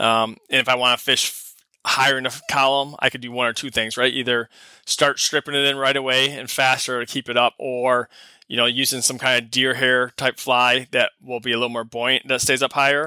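Recorded with a dry, close sound and no echo, a man with an American accent talks at a fairly quick pace in a flat monotone. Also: medium pitch for a man. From Michigan, US. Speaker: fishing guide and engineer. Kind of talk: casual interview.

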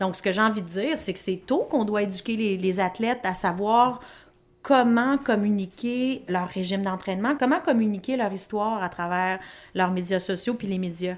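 A woman speaks at a moderate pace with medium pitch. Her pitch varies in an ordinary way. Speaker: public relations agency president and athlete manager. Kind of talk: interview. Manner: energetic.

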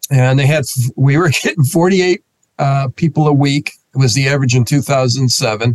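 A man with an American accent talks at a moderate pace with ordinary pitch variation. His voice is somewhat breathy, with a dry, close sound and no echo. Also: fairly high pitch for a man, very even loudness. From US Northeast, Rochester, New York. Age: 60s. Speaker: pastor. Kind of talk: interview conversation.

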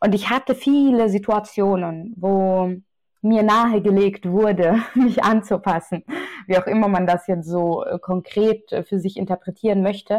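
At a fairly slow pace, a woman speaks at medium pitch with ordinary pitch variation and very even loudness. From Austria, Vienna. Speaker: journalist. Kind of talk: interview.

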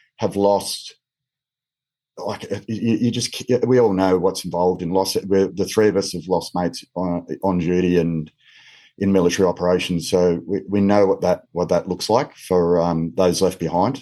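Against a quiet background, a man with an Australian accent and very deep, low pitch speaks at a moderate pace, his tone dark and mellow, his intonation fairly even. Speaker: former police officer. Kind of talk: panel discussion. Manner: halting, many fillers.

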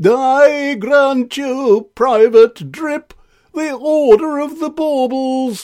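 Using a put-on character voice at an extremely high pitch, a man speaks at a very slow pace in a very clean recording with a silent background. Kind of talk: grand, ceremonial. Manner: pompous.

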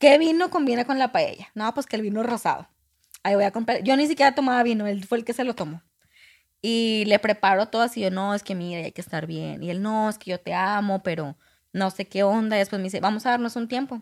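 Quick-paced and fairly high in pitch, a woman with an unremarkable speaking voice talks with lively intonation. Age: 20s. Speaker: guest telling personal story. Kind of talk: casual storytelling.

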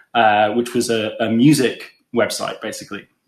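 With an English accent, a man speaks at medium pitch. His pace is moderate. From England. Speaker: product coach. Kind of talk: casual interview chat.

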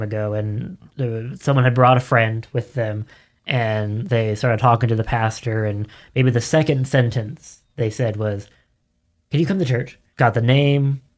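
A man with a normal speaking voice and a medium pitch speaks at a moderate pace with fairly even intonation in a very clean recording with a silent background. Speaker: podcast producer. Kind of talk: panel discussion. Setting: studio.

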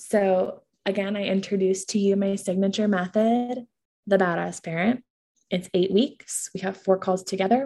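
At a moderate pace, the dark, mellow voice sounds somewhat breathy and keeps a fairly even intonation. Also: woman. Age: 20s. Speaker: parenting coach and podcast host. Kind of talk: sales pitch.

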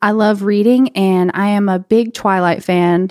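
A woman's plain, everyday voice at a medium pitch, with a dry, close sound and no echo. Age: 20s. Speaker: podcast co-host, hairstylist. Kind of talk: casual podcast introduction.

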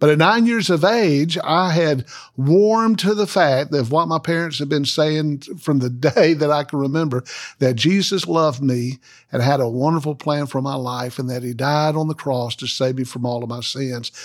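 Fairly high in pitch with ordinary variation, a man speaks in a Southern US accent at a moderate pace in a very clean recording with a silent background. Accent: Southern US (Georgia). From US South, Macon, Georgia. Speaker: Baptist associational missionary, former pastor. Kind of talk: interview conversation, testimony.

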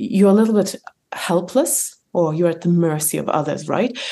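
Speaking at a fairly quick pace, a woman with an Eastern European accent has a dark, mellow tone and a fairly low pitch with ordinary variation. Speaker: author and entrepreneur. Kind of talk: interview, conversational. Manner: hesitant with fillers, laughs often.

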